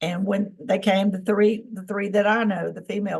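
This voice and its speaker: A woman with a Southern US accent speaks in a somewhat breathy voice. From Tennessee. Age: 60s. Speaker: experiencer of alien contact, former government employee. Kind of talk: interview testimony.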